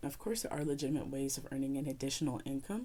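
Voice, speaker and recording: A soft-spoken woman talks at a fairly quick pace. Her voice is very deep and low in pitch, with a dark, mellow tone. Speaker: YouTuber giving opinion. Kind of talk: opinion commentary video. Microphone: audio issues with mic.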